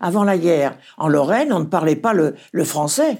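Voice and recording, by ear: A woman speaks in a fairly low pitch with vocal fry and a slightly husky edge. Her slightly mellow tone carries lively intonation.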